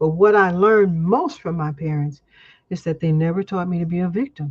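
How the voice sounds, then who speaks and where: In an American accent, a woman talks at a fairly quick pace, her fairly low voice somewhat breathy with ordinary pitch variation. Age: 70s. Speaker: community elder, guest speaker. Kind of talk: casual interview chat.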